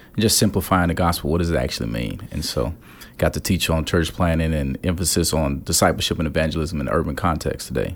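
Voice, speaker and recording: A man with a very deep, low pitch, vocal fry, an American accent and a fairly quick pace. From Gary, Indiana (US Midwest). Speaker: pastor. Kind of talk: interview. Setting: conference venue.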